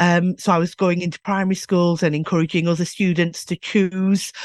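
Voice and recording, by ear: A woman speaks at a moderate pace and a fairly low pitch, with fairly even intonation. Her tone is slightly mellow, and the sound is dry and close with no echo.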